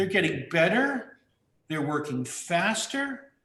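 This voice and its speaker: Room echo can be heard as a man talks. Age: 60s. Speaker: video artist. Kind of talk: interview. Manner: halting.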